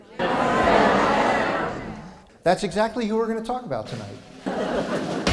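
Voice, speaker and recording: With music in the background, a man speaks in an upbeat tone at a high pitch. He goes very slowly, and his pitch varies in an ordinary way. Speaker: humorist and speaker. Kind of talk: live comedy talk to audience. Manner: upbeat, humorous.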